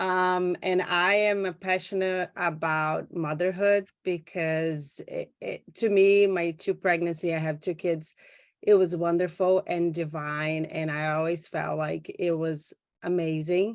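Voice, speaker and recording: Against a quiet background, a woman with a Brazilian Portuguese accent speaks fairly slowly in a fairly low, monotone voice with flat intonation. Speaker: doula and photographer. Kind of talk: panel introduction. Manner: halting.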